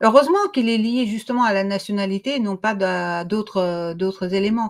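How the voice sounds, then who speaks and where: Recorded very cleanly against a silent background, a woman talks at a fairly quick pace with a fairly high pitch and ordinary pitch variation. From Russian and Armenian background. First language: Russian or Armenian; French is third language (speaking French). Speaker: co-host of political morning show. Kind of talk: political discussion. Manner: hesitant, many fillers.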